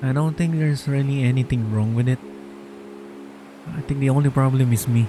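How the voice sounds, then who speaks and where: A man at a medium pitch talks at a fairly quick clip with fairly even intonation, broken by long, frequent pauses, over noticeable background noise. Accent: strong Filipino. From Philippines. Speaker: vtuber streamer. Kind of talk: casual livestream chat while gaming.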